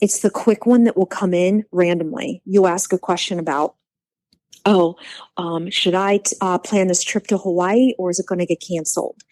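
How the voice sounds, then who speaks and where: At a moderate pace, a woman with a medium pitch and ordinary pitch variation speaks in an unremarkable speaking voice, on a very clean recording with a silent background and a dry, close sound with no echo. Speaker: psychic medium. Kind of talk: casual chat.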